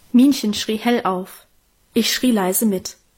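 Here someone does plain reading aloud, and the pitch varies in an ordinary way.

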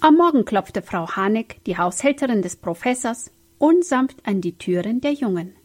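The reading voice sounds unforced. Its intonation stays lively.

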